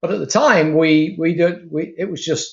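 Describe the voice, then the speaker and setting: A man with a British accent talks at a fairly slow pace. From Britain. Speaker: retired aerospace worker, program leader. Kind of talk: interview.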